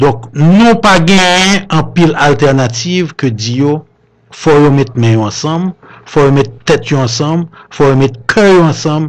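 A man with a plain, everyday voice, fairly high in pitch, with lively intonation at a fairly slow pace against a quiet background. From Haiti. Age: 60s. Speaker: businessman and politician; politician. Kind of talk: radio interview. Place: studio.

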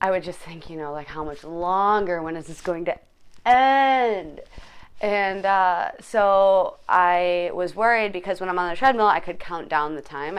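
A woman talks at a fairly low pitch with ordinary pitch variation and big swings in loudness. The background is quiet. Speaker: fitness vlogger. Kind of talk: casual vlog chat. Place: home room. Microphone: phone near.

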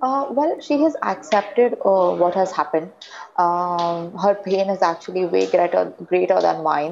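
In an Indian accent, a woman speaks at a fairly slow pace with lively intonation. Light background noise can be heard. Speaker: daughter of slain police officer. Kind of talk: testimony. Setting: remote video link. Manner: halting. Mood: somber, reflective. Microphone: lapel.

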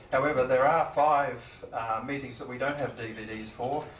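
A man at a moderate pace with fairly even intonation, audible room echo and light background noise. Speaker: meeting host. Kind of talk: meeting introduction speech. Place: meeting room. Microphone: handheld.

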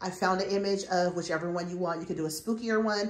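The speech shows ordinary pitch variation, with audible room echo around it. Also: woman. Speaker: home decor vlogger. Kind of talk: casual vlog chat. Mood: upbeat, playful. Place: home room. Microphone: phone near.

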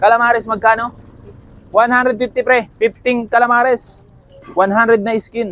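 An upbeat, cheerful man with an extremely high pitch and long, frequent pauses. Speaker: street food vendor and vlogger. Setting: outdoors at a roadside stall near a school. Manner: fast, loud and upbeat, rattling off orders and prices, cheerful banter with customers.

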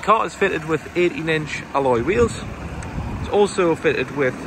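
Noticeable background noise runs under a man speaking with ordinary pitch variation in a dry sound with no echo. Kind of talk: sales walkaround presentation. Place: street. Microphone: phone near.

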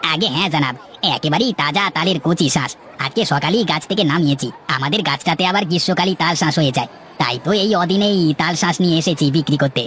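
Over clear background noise, a man does a cartoonish character voice at a high pitch and fairly quick pace, with ordinary pitch variation and very even loudness. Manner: friendly, eager to please.

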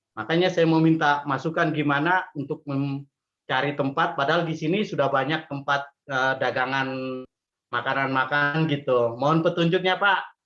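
A man's fairly high voice with a bright, sharp tone, fairly even intonation and a quiet background. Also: moderate pace. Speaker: participant, small food business owner. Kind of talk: question in online meeting. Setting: video call. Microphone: video call.

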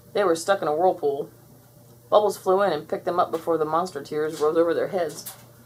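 A woman with a low pitch, a slightly mellow tone and a slightly husky edge speaks at a fairly quick pace with fairly even intonation.

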